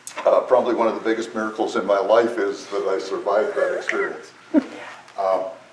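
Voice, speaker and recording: A man with an American accent talks at a fairly quick pace amid noticeable background noise and audible room echo. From US Midwest, South Dakota. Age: 70s. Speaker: woodturning demonstrator. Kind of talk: club demonstration talk. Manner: halting, many fillers.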